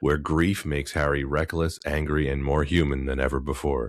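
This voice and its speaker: A man with a very deep, low pitch and vocal fry talks at a moderate pace in a very clean recording with a silent background. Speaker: podcast co-host. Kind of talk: scripted intro narration.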